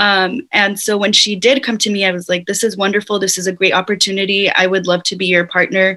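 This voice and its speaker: In an American accent, a woman speaks at a moderate pace and medium pitch, her bright, sharp tone monotone and flat. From Whittier, California. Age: 20s. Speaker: community project co-founder. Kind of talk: interview conversation. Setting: video call.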